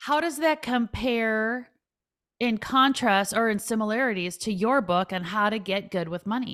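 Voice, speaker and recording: Her tone animated, a woman speaks at a fairly high pitch. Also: ordinary pitch variation, moderate pace. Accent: Minnesotan. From Minnesota. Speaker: financial advisor and author. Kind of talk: podcast interview.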